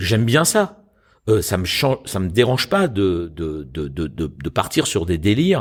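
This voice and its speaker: A man's very deep, low voice at a fairly slow pace, with very wide pitch swings, on a very clean recording against a silent background. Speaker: stage actor and voice actor. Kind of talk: interview answer about voice acting.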